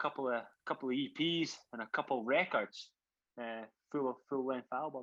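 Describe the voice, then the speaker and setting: Against a quiet background, a man with a fairly high pitch and a bright, sharp tone speaks at a moderate pace with ordinary pitch variation. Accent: Scottish. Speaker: rock drummer. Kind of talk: podcast interview. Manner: halting, many repeated words.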